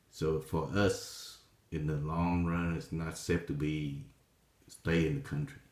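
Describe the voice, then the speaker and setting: A man talks at a very slow pace with a very deep, low pitch. His pitch variation is ordinary, and room echo is audible. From Vietnam. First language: Vietnamese. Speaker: vlogger telling life story. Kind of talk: personal testimony. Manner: halting, many fillers.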